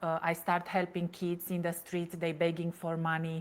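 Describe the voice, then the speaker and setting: This very clean recording, with a silent background, has a woman speaking at a fairly low pitch with a Romanian accent. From Romania, Transylvania. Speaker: toxic relationship coach. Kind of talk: interview testimony. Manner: halting, many fillers.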